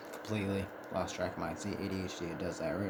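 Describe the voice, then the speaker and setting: Fairly low-pitched male speech with audible room echo and noticeable background noise. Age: 30s. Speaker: content creator with ADHD. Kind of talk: casual video monologue. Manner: halting, many filler words.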